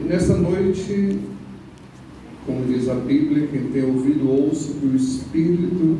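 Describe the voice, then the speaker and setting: A man at a fairly high pitch and fairly slow pace, with ordinary pitch variation, amid noticeable background noise and audible room echo. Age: 60s. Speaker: pastor. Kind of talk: sermon. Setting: church.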